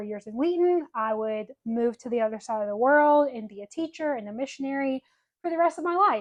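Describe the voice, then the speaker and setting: A woman speaks with a Southern US accent at a high pitch. She talks at a fairly quick pace with ordinary pitch variation. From US South, Birmingham, Alabama. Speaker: podcast co-host. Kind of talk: casual chat.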